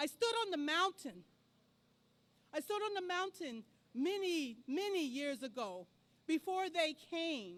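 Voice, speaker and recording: A loud woman's voice at an extremely high pitch, with very wide pitch swings, a fairly slow pace and long, frequent pauses. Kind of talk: storytelling speech at a rally. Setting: outdoor rally in a park.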